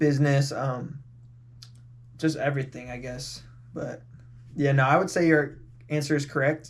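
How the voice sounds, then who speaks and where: A man with an American accent speaks at a fairly high pitch in a flat monotone. His loudness swings widely, and he leaves long, frequent pauses. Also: moderate pace. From California. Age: 20s. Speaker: podcast guest. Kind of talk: casual chat. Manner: casual, filler-heavy.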